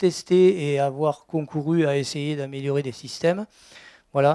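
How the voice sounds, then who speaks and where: A man speaks very slowly in a dark, mellow tone with ordinary pitch variation. The sound is dry and close, with no echo. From southwest France, Gers. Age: 60s. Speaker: organic farmer. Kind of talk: testimony at a conference. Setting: conference talk before audience. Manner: hesitant, many fillers.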